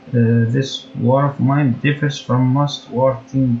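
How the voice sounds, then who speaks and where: Music plays behind a man speaking at a fairly slow pace with a non-native accent. His pitch is medium and his intonation is monotone and flat. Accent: non-native English, mispronounces words. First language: not English. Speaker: gaming YouTuber. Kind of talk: gameplay commentary with partly read-out facts. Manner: halting, frequent self-corrections.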